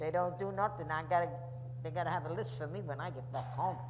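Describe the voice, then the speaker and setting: Someone speaks in a New York accent with audible room echo. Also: woman. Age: 80s+. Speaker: Armstrongs' longtime neighbor. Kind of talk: audience Q&A, reminiscing. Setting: festival stage with audience. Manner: halting, repetitive.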